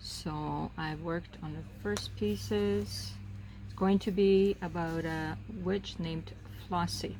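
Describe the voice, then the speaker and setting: Very slow and relaxed in tone, the voice carries audible room echo. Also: woman. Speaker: crafting video creator. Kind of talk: casual relaxed crafting narration. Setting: outdoors. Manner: relaxed, hesitant with fillers.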